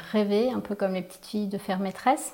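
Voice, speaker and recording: This woman's voice sits at medium pitch and has ordinary pitch variation. Noticeable background noise runs under it. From Picardy, northern France. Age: 40s. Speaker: business owner, training company founder. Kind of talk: interview. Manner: hesitant, many fillers.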